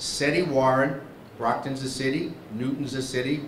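Over light background noise and audible room echo, a man talks at medium pitch. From New England. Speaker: event emcee. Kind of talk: emceeing a political breakfast. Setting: stage with audience, microphone. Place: hall. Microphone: handheld.

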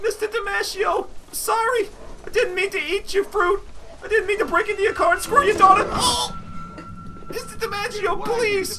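A put-on character voice, whiny in tone, at a moderate pace with long, frequent pauses and clear background noise. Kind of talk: comic overacting. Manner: pleading, whiny, rambling.

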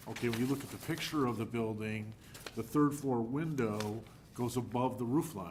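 Audible room echo surrounds a man with an American accent. He speaks at a fairly slow pace with ordinary pitch variation. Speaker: planning commission member. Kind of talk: public meeting discussion.

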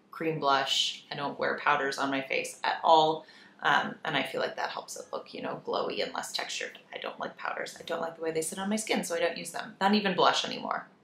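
A woman's fairly low-pitched voice, with audible room echo and light background noise. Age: 30s. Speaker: lifestyle YouTuber. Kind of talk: casual chat. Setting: home office with echo. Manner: animated. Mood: warm, relaxed. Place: office.

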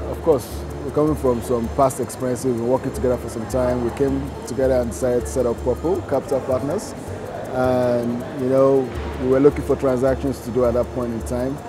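A man races along at a very fast pace while clear music sounds in the background. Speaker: interviewee. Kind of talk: interview answer. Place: shop. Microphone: lapel.

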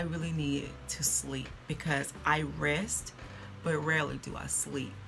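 There is noticeable background noise as a woman talks. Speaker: beauty vlogger. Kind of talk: casual vlog chat. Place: home room. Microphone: phone near.

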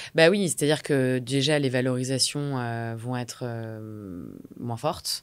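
A woman speaks very slowly in a very deep, low voice. Her pitch varies in an ordinary way. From Normandy, France (Rouen); Normandy, France. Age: 30s. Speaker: entrepreneur, community founder; podcast guest. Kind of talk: interview. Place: studio. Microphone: studio mic.

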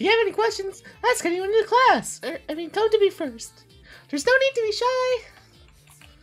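A woman with an extremely high pitch talks at a moderate pace, leaving long, frequent pauses over faint background music. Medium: game stream. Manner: bubbly, friendly, a bit flustered.

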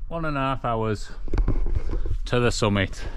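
The man speaks with a Yorkshire accent and ordinary pitch variation. The sound is dry with no echo, though there is noticeable background noise. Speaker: outdoor adventure vlogger. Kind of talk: casual vlog chat. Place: open country. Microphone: phone near.

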